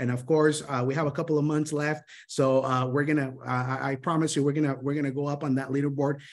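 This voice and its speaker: A man with a Spanish accent and fairly high pitch speaks at a very fast pace in an animated tone. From Honduras. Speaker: sales mentor. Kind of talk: motivational training talk. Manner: animated, with many fillers and restarts.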